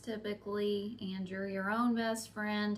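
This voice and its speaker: Speaking fairly slowly in a flat monotone, a woman with a fairly high voice is heard over noticeable background noise and audible room echo. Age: middle-aged. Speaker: hobby content creator. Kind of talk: casual vlog talk to camera. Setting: talking to camera alone. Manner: halting, with fillers.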